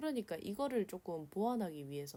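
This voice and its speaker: With a dark, mellow tone, a woman at a medium pitch talks at a moderate pace with very wide pitch swings. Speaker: illustrator. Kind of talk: drawing tutorial voice-over. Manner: casual, nervous.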